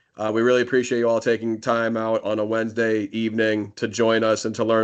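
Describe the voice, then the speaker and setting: Over a quiet background, a man with an American accent talks at a fairly quick pace in a fairly low, monotone, flat voice. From Massachusetts (Marlborough). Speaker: school principal. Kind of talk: info session presentation. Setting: online video meeting. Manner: fast; filler-heavy.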